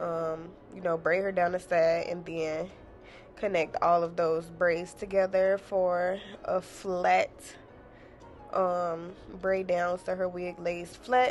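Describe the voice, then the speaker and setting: Music plays behind a woman speaking at a very slow pace with long, frequent pauses. Her intonation stays monotone and flat. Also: fairly low pitch for a woman. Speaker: hairstylist and beauty vlogger. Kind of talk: tutorial voiceover. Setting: home voiceover. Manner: casual, filler-heavy; stumbling.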